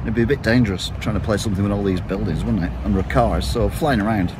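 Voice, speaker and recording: The pace is fairly quick, the sound is dry with no echo, and there is noticeable background noise. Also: man. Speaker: walking tour vlogger. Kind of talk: casual vlog chat. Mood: wry, joking. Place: street. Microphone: phone near.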